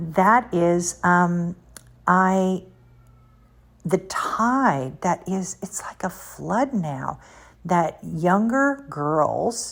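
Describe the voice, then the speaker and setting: A woman speaks at a very slow pace with a medium pitch, lively intonation, and long, frequent pauses. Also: very clean recording, silent background. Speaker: motivational speaker. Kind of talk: religious podcast talk.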